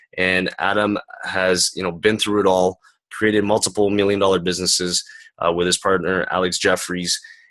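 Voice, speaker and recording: In a Canadian accent, the speaker talks at a moderate pace with monotone, flat intonation. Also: man, very deep, low pitch for a man. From Canada. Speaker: summit interview host. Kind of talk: online interview. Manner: casual.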